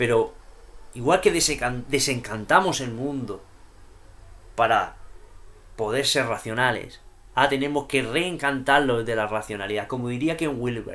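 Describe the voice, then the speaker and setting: A man with a Murcian accent, animated in tone, at a fairly slow pace with long, frequent pauses. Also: medium pitch for a man, ordinary pitch variation. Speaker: YouTuber discussing poetry and philosophy. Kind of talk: vlog monologue.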